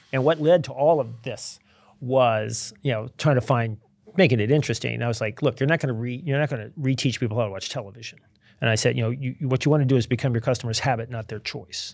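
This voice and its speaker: A man's medium-pitched voice at a very fast pace, with ordinary pitch variation, on a very clean recording with a silent background. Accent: American. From Virginia. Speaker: behavioral science author. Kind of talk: casual interview. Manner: halting, many repetitions.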